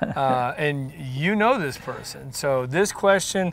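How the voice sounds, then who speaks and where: Over noticeable background noise, the speaker moves at a very slow pace with very wide pitch swings. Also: man. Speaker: mortgage loan officer, branch manager. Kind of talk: casual interview host questions.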